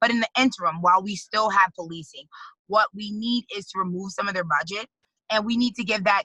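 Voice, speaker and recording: A woman with a New York accent talks at a fairly quick pace and medium pitch, her tone bright and sharp and her pitch variation ordinary. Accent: New York City. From New York City, the Bronx. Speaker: activist and congressional candidate. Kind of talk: interview.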